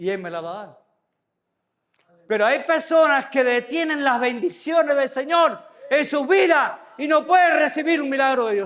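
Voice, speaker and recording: A man speaks at an extremely high pitch and a fairly slow pace, his animated tone carried by lively intonation and big swings in loudness. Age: 60s. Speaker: pastor. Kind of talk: sermon.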